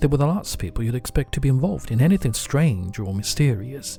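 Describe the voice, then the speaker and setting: Over music in the background, a man talks at a medium pitch and a fairly quick pace with lively intonation. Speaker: English pronunciation teacher. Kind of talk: audiobook reading.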